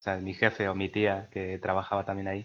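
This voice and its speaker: A man talks at a fairly low pitch. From Peru, Lima. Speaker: podcast co-host. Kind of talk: casual chat.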